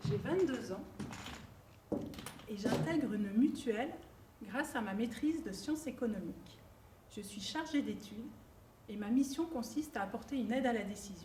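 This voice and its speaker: With lively intonation and a high pitch, a woman talks at a moderate pace amid audible room echo. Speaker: student and career changer. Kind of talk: prepared personal testimony.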